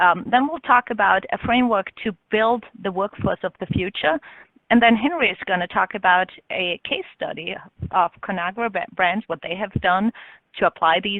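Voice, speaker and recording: A woman of medium pitch with an Austrian accent, at a moderate pace and with ordinary pitch variation. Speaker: business consultant. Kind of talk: webinar presentation.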